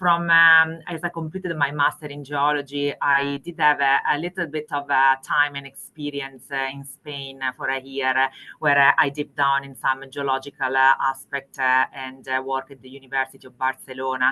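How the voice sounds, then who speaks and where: With an Italian accent, a woman speaks at a moderate pace in a very deep, low pitch, her tone bright and sharp, her intonation monotone and flat, hardly any pauses, big swings in loudness, and a dry, close sound with no echo. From Italy. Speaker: mining executive, geologist. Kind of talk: interview.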